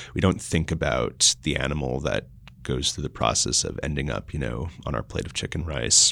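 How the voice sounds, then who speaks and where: A man with an American accent, very deep and low in pitch with vocal fry, at a moderate pace. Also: ordinary pitch variation. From mixed, US and Austria. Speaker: food startup co-founder. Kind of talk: interview. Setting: in person, location change late in interview.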